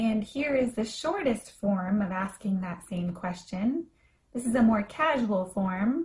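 A woman speaks at a fairly high pitch with lively intonation. Her voice is somewhat breathy. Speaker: English teacher. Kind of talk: language lesson with phrase repetition. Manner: slow, clear and repetitive.

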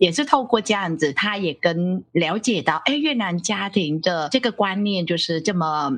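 A woman with a Vietnamese accent, medium in pitch, at a moderate pace with lively intonation. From Vietnam, Ho Chi Minh City. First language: Vietnamese (speaking Chinese). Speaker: professor. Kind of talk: interview.

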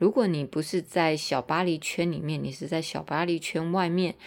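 A woman with a Taiwanese accent speaks at a fairly low pitch, with ordinary pitch variation. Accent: Taiwanese Mandarin. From Taiwan (Tainan). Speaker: podcaster and teacher. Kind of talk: casual monologue. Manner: hesitant with fillers and repetitions.

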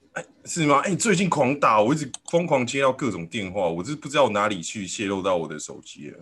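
A man at medium pitch, very fast with hardly any pauses, with very wide pitch swings, big swings in loudness and vocal fry. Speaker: podcast host. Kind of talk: casual chat.

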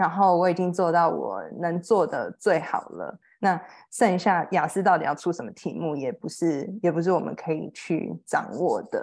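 In a very clean recording with a silent background, a woman with a fairly low pitch and vocal fry speaks with ordinary pitch variation. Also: moderate pace. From Taiwan. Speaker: HR professional, former English student. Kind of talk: interview.

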